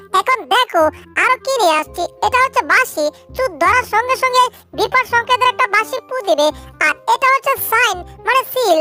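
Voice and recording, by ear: A woman uses a squeaky, cartoonish character voice pitched extremely high, with lively intonation. She talks at a moderate pace while clear music plays in the background.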